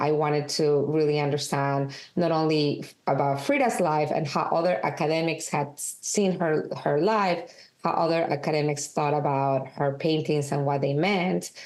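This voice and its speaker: A woman's very deep, low voice in a strong Peruvian accent at a moderate pace, with audible room echo. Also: ordinary pitch variation. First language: Spanish. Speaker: documentary director and film editor. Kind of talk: interview.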